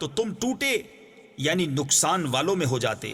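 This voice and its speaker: A man at a fairly slow pace with lively intonation and noticeable background noise. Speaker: Urdu translation reader. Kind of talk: Quran translation reading.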